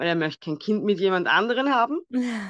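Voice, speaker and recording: A woman speaks with an Austrian accent. The sound is dry and close with no echo, over a quiet background. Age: 30s. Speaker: guest sharing infertility story. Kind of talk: personal testimony.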